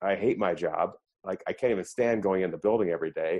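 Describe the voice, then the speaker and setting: Talking at a fairly quick pace, a man with a General American accent has a fairly low pitch. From Colorado. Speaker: podcast host, leadership coach. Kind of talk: interview. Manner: hesitant, filler words.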